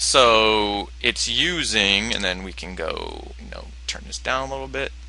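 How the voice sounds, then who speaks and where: Bright, sharp tone with vocal fry over a quiet background. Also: man. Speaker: animation filmmaker and tutorial maker. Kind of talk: tutorial. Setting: home computer desktop screen recording.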